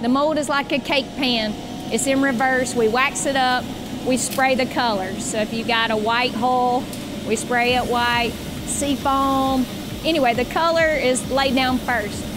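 A woman speaking at a fairly slow pace amid noticeable background noise. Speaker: boat company staff guide. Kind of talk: factory tour explanation. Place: factory. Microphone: lapel.

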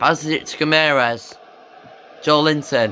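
Light background noise sits behind a man who talks rather slowly. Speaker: football video game commentator. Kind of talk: sports commentary. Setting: video game commentary voiceover. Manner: excitable on goals, otherwise flat and matter-of-fact. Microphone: phone near.

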